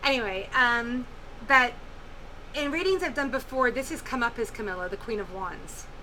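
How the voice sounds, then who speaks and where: A woman talks loudly at a high pitch. Her tone is bright and sharp. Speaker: tarot reader. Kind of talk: tarot reading monologue. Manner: hesitant, many fillers. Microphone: poor microphone.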